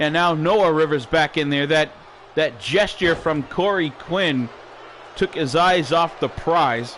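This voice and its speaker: A man's fairly high voice at a fairly slow pace, with ordinary pitch variation over noticeable background noise. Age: 60s. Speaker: wrestling commentator. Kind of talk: live play-by-play commentary. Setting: home studio. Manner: animated.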